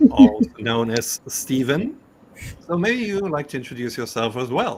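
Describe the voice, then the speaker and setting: With a German accent, a man speaks at a moderate pace and a medium pitch, his voice swinging very widely up and down. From Germany. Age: 40s. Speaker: gaming podcast host. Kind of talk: casual podcast chat.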